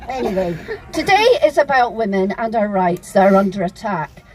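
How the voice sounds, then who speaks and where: With a Scottish accent and lively intonation, a woman speaks over noticeable background noise. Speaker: activist speaker. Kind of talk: public speech at a rally. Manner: impassioned.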